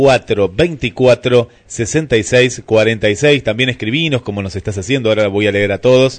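Very slow speech in an Argentine accent, with ordinary pitch variation. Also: man, medium pitch for a man, hardly any pauses. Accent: Rioplatense Argentine Spanish. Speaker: radio host. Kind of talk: morning radio show. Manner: animated.

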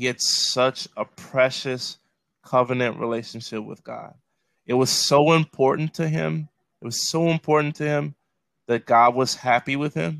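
With a Chicago accent, a man speaks at a moderate pace and fairly high pitch, with ordinary pitch variation and a dry, close sound with no echo. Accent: Chicago-area American. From Chicago south suburbs, US Midwest. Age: 30s. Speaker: pastor. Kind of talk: casual chat. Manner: repetitive, halting restarts.

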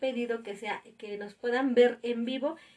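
A woman at a high pitch with fairly even intonation and a fairly slow pace. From Mexico City. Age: 30s. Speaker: podcast co-host, parent. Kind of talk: casual chat.

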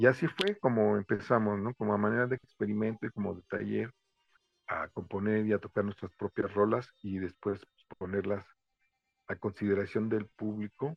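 Speaking with a Mexican accent, a man has a fairly low pitch. He keeps a moderate pace and fairly even intonation. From Mexico. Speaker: reggae drummer. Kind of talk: interview. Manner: halting.

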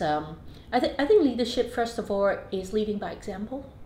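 Over noticeable background noise, a woman talks at a moderate pace in a fairly high pitch with lively intonation. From Hong Kong. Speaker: business executive. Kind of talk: interview. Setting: office.

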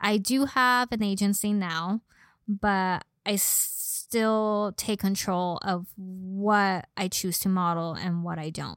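With a Southern California accent, a woman speaks at a very slow pace, her pitch medium and her intonation fairly even. The sound is dry and close with no echo, on a very clean recording with a silent background. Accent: Valley girl. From Los Angeles (San Fernando Valley). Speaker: model and personal trainer. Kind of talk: casual chat.

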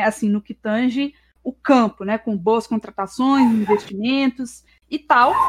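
The woman's voice sits high in pitch at a moderate pace. The sound is dry and close, with no echo. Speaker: history student and streamer. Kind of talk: casual chat.

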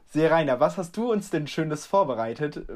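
This man has an ordinary speaking voice with a fairly high pitch. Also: very clean recording, silent background. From Germany. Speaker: podcast co-host. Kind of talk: casual chat.

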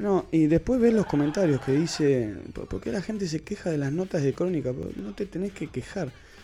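An unremarkable speaking voice from a man, fairly high in pitch, quick-paced, with lively intonation. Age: 30s. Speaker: podcast co-host. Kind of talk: casual chat.

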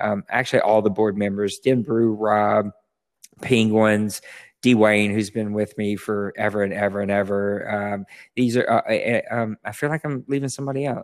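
In a dry, close recording with no echo, very clean and with a silent background, a man with an unremarkable speaking voice talks at a fairly low pitch with fairly even intonation. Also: moderate pace. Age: 40s. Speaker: online gaming league founder. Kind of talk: casual chat.

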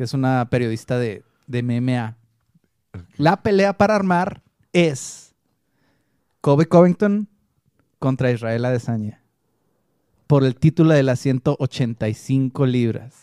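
A man speaks very slowly, with long and frequent pauses, at a medium pitch and with lively intonation. His tone is dark and mellow, and the sound is dry and close with no echo. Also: very clean recording, silent background. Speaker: MMA podcast co-host. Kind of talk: casual chat.

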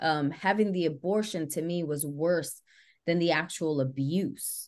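An ordinary speaking voice from a woman with an American accent, fairly low in pitch, at a fairly slow pace with ordinary pitch variation. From New York City, the Bronx. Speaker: actress and author. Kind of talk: interview.

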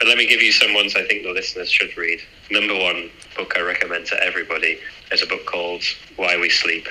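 This man's speech rushes by very fast. Background noise is noticeable throughout. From northern England. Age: 30s. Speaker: aerospace engineer and amateur triathlete. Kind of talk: casual interview.

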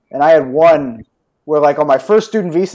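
A man's fairly high-pitched voice with an American accent, a dark, mellow tone and ordinary pitch variation. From US Northeast, outside New York. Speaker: stock market analyst. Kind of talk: casual chat.

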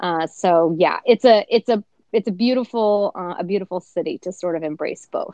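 A woman with an American accent talks at a moderate pace in a plain, everyday voice. Her loudness swings widely while her pitch varies in an ordinary way. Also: medium pitch for a woman. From US Midwest, northeastern Kansas. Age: 20s. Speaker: TV host and former rodeo athlete. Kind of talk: casual interview.

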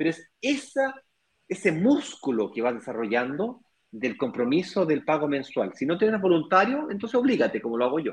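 Pitch leaps across a very wide range as the words come at a fairly quick pace. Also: man. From Chile. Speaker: real estate investment business partner. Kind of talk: live stream conversation.

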